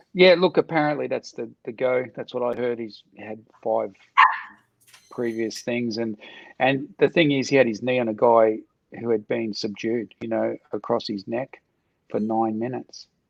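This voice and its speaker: Recorded dry and close with no echo, a man with an Australian accent speaks at medium pitch and a moderate pace with ordinary pitch variation. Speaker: martial arts coach, ex-soldier. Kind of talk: casual chat.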